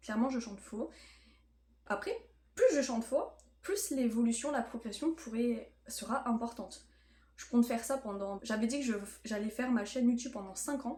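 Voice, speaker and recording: A woman with a high pitch and a dark, mellow tone talks at a moderate pace with ordinary pitch variation and long, frequent pauses. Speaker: student vlogger. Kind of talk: casual vlog talk. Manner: hesitant, many fillers.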